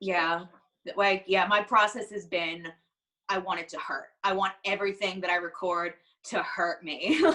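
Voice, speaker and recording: An animated voice with a bright, sharp tone and ordinary pitch variation. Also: woman, medium pitch for a woman. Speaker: singer in a band. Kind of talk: casual interview chat. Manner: fast.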